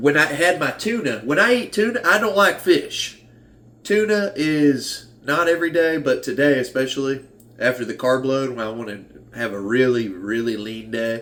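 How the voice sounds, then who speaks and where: A man with an American accent talks at a moderate pace with very wide pitch swings. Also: fairly high pitch for a man. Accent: Southern US, sometimes strong. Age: 30s. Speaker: fitness vlogger. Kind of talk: casual vlog talk. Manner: halting, many restarts.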